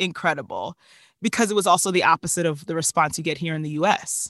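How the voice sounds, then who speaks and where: Pitch variation is ordinary, and the sound is dry and close with no echo against a quiet background. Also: woman. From New Jersey. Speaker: actress and singer. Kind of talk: interview conversation. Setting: remote call from walk-in closet.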